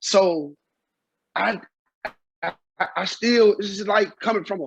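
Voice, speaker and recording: A man with a high voice speaks in a raised, projected way, his tone bright and sharp, with ordinary pitch variation. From Mississippi, raised in Memphis. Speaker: former drug dealer, author. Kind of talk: interview. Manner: loud.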